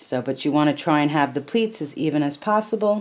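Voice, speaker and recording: Soft-spoken and fairly slow, a woman talks in a very deep, low pitch. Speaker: crochet instructor. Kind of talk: tutorial. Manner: casual, hesitant with fillers.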